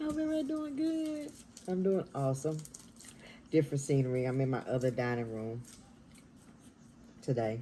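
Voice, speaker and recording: A woman speaks in a whisper. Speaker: mukbang vlogger. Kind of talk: casual chat. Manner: whispering.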